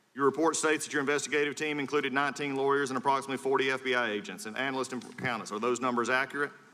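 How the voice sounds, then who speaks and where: A man talks at a very fast pace with hardly any pauses. His medium-pitched voice keeps a fairly even intonation over noticeable background noise. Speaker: congressman. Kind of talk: congressional hearing questioning. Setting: hearing room.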